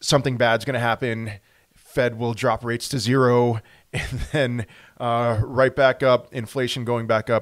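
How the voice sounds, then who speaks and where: A man at a fairly quick pace, with a quiet background. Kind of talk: commentary. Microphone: webcam.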